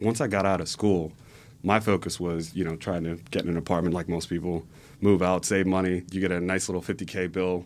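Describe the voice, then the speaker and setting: In an American accent, a man speaks at a fairly quick pace in a very deep, low voice with monotone, flat intonation. The recording is very clean, with a silent background. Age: 20s. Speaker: political organizer. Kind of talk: podcast interview. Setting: studio.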